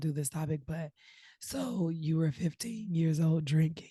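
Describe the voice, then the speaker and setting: A woman's very deep, low voice, dark and mellow and somewhat breathy, at a moderate pace. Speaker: podcast host. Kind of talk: casual chat.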